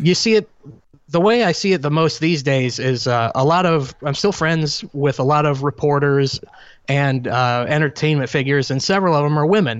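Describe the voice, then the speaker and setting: A plain, everyday voice: a man at a moderate pace, fairly high in pitch, with ordinary pitch variation and very even loudness. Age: 30s. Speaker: public speaker. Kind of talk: casual chat.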